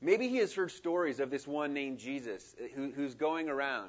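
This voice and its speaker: Speaking at a moderate pace with lively intonation, a man has an unremarkable speaking voice. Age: 40s. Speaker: missionary. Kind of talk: sermon. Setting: church.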